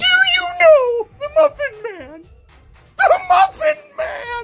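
A man speaks in a put-on character voice at a very slow pace. Faint music plays in the background.

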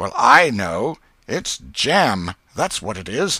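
A man uses a put-on character voice, fairly low in pitch, with a slightly husky edge. He talks slowly, with big pitch swings and a bright, sharp tone.

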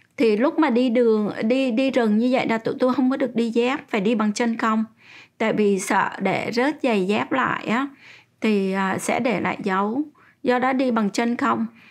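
Against a quiet background, the speaker keeps a moderate pace, very even loudness, and ordinary pitch variation. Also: woman. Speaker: interviewee. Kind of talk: interview answer. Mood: calm, reflective recounting. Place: home room.

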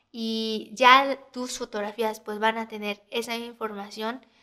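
A woman speaks with a Mexican accent at a fairly high pitch. Her tone is bright and sharp. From Mexico City. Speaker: photographer and editing tutor. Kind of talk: tutorial. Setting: screen recording. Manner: casual, hesitant fillers.

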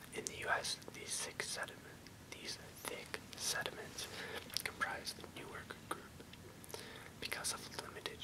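Loud background noise surrounds a man who talks at a fairly slow pace. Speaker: reader of encyclopedia text. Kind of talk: reading aloud. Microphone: webcam.

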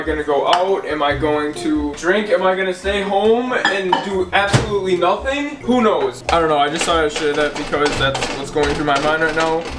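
The speech runs on with hardly any pauses against loud background noise. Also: man, moderate pace. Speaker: vlogger. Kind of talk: casual vlog chat. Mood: restless, slightly glum, joking. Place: kitchen. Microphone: camera far.

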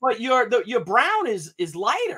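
A man speaks at a fairly slow pace in an extremely high pitch, his bright, sharp tone carrying a slightly husky edge and very wide pitch swings.

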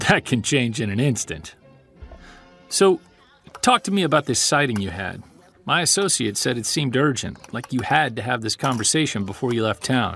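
Over faint music in the background, a man in a put-on character voice speaks at a moderate pace and medium pitch, with vocal fry, a fairly bright tone, a slightly husky edge and lively intonation.

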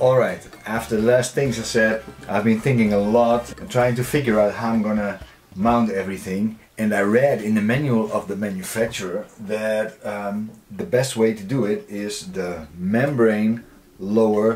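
A man with an ordinary speaking voice talks at a moderate pace, his fairly low pitch carrying fairly even intonation. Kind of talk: casual vlog tutorial. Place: boat. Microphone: phone near.

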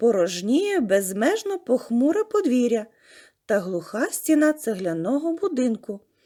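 This voice is reading aloud in a natural voice.

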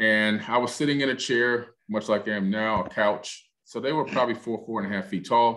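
A man with a normal speaking voice and an American accent, medium in pitch, at a fairly quick pace with hardly any pauses and fairly even intonation, over a quiet background. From US Northeast. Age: 50s. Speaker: author and TV producer; interview guest. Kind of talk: interview. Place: home room. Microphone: studio mic.

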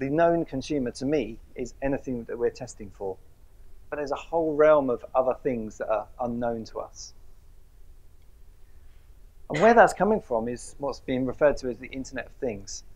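Long, frequent pauses break up this man's moderate-paced speech. His loudness swings widely. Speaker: presenter. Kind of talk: lecture. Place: hall. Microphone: lapel.

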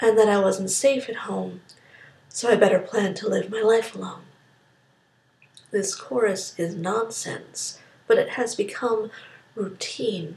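This woman's voice has a fairly high pitch. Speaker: spoken word poet. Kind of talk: spoken word poetry performance. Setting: quick informal recording.

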